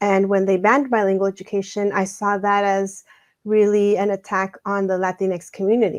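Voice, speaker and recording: A woman's monotone, flat delivery at a moderate pace over a quiet background. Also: medium pitch for a woman. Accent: Spanish. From Mexico, raised in Douglas, Arizona. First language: Spanish. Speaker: education scholar and author. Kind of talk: interview.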